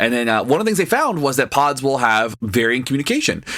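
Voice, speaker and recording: Speaking at a very fast pace, a man with an American accent uses lively intonation. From US South. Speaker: podcast co-host. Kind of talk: casual chat.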